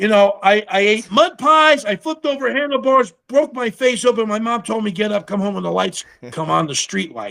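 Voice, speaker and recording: A man speaks in a raised, projected voice, high-pitched, with a bright, sharp, animated tone, lively intonation and a moderate pace. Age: 60s. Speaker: TV survivalist and army veteran. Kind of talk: casual chat.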